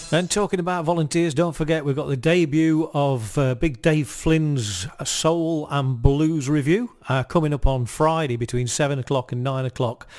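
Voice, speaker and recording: This man's voice sits fairly high, with ordinary pitch variation and a warm, enthusiastic tone. He talks at a moderate pace with hardly any pauses. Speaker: community radio presenter. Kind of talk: radio DJ patter, live music show with quiz and station plugs. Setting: studio. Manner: chatty, relaxed, rambling with frequent fillers; warm, enthusiastic, jokey.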